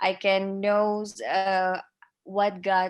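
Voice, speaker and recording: On a very clean recording with a silent background, a woman talks with an Indonesian accent. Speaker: pageant contestant. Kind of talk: casual chat. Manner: halting.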